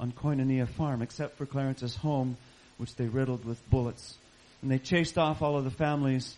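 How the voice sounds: The speaker's intonation stays fairly even in a natural reading voice.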